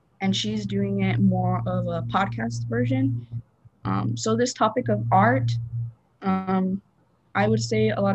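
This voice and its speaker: Fairly slow speech with an American accent over background music. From southern Arizona (Rio Rico). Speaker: college student. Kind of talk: casual interview. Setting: video call.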